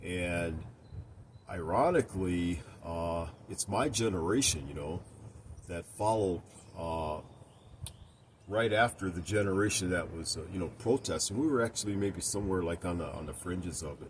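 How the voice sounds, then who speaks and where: At a moderate pace, a man with an American accent and a very deep, low pitch sounds somewhat breathy, using ordinary pitch variation and long, frequent pauses. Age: 60s. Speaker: video blogger. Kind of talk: personal opinion monologue. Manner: hesitant, many fillers.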